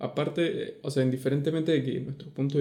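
Somewhat breathy, a man's voice comes through with a dark, mellow tone. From Venezuela. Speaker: podcast co-host. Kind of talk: casual chat.

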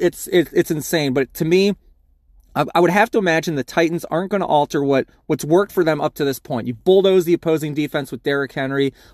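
Very fast and fairly high-pitched, a man talks with ordinary pitch variation in a dry, close sound with no echo. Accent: American. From US Mid-Atlantic, Baltimore. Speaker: fantasy football podcaster. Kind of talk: solo sports preview. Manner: casual, conversational.

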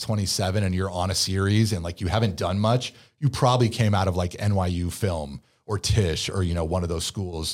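Fairly low pitch from a man, at a moderate pace with ordinary pitch variation. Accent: American. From California, Bay Area. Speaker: actor. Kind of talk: casual chat. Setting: studio.

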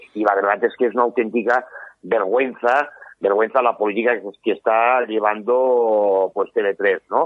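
A man with a medium pitch delivers his words fairly slowly and with fairly even intonation. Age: 50s. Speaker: politician. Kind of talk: interview. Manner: halting.

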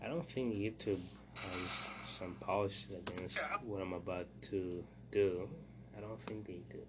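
A man with a very deep, low pitch and lively intonation, at a fairly slow pace with long, frequent pauses, amid noticeable background noise and audible room echo. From Burundi. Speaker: podcast host. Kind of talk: solo news commentary. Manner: halting, many fillers.

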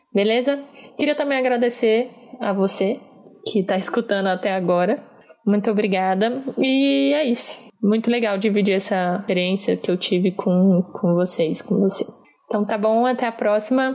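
A woman with a normal speaking voice talks at a medium pitch and a moderate pace, with ordinary pitch variation and very even loudness. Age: 20s. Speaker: political consultant. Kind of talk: personal testimony.

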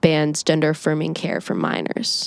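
An ordinary speaking voice with an American accent at a fairly slow pace, in a dry, close sound with no echo. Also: woman. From Indiana, US Midwest. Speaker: student podcast host. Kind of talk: interview.

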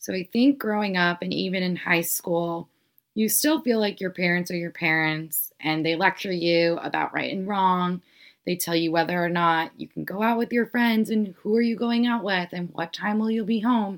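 A woman speaks in a normal speaking voice at a medium pitch with ordinary pitch variation. Her pace is moderate, and the recording is very clean with a silent background. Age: 20s. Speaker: podcast host. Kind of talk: casual chat.

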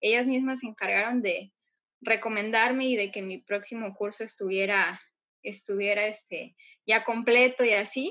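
At a moderate pace, a woman talks with fairly high pitch and fairly even intonation. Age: 20s. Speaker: lettering artist and course teacher. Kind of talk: interview.

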